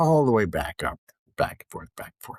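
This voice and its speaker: A man speaks with vocal fry and very wide pitch swings. The sound is dry and close, with no echo. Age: 70s. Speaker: financial planner. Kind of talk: casual monologue.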